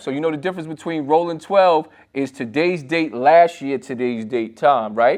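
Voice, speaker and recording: In a normal speaking voice, a man talks at a moderate pace, his pitch fairly high and its variation ordinary. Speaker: financial commentator. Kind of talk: casual financial tutorial.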